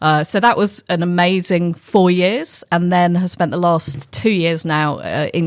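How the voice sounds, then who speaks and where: In a British accent, a woman speaks with fairly even intonation in a dry, close sound with no echo. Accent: very British. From England (London). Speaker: finance executive. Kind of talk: interview.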